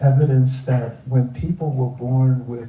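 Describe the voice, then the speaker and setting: A man with an American accent speaks in a medium pitch. His tone is dark and mellow and somewhat breathy. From US Northeast, Philadelphia. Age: 70s. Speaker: environmentalist. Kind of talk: live onstage interview.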